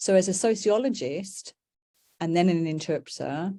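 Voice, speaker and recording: A woman speaks in a dark, mellow tone at a medium pitch and moderate pace, with ordinary pitch variation. The recording is very clean, with a silent background. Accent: British. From UK. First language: British Sign Language. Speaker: professor. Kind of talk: lecture. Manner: hesitant with fillers.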